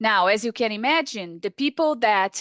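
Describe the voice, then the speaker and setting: A woman with a Portuguese accent talks at a fairly high pitch with very wide pitch swings. The sound is dry and close, with no echo. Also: quiet background. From Brazil. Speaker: paediatric surgeon. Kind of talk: webinar lecture.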